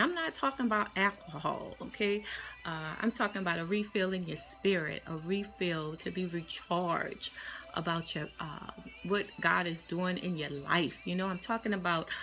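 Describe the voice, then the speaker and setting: A woman's voice at a moderate pace with ordinary pitch variation, faint music in the background. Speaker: life coach. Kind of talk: casual live-stream encouragement talk. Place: office. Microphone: phone near.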